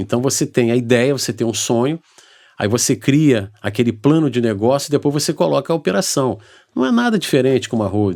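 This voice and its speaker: A man's normal speaking voice at a medium pitch, fairly quick in pace, with ordinary pitch variation. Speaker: lawyer and accountant. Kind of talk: interview.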